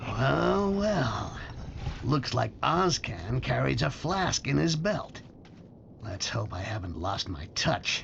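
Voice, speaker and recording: A man does a put-on character voice at a medium pitch, speaking very slowly. Clear background noise runs behind him. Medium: video game. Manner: sarcastic.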